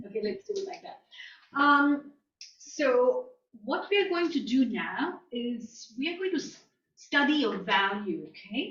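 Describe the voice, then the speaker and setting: A woman speaks high and fairly slowly. Her pitch swings very widely and her loudness swings a lot. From India, New Delhi. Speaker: guest lecturer. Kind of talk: lecture.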